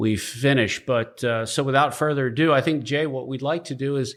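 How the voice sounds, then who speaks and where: A man with an unremarkable speaking voice, a moderate pace and fairly even intonation. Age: 50s. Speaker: podcast host. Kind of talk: casual interview.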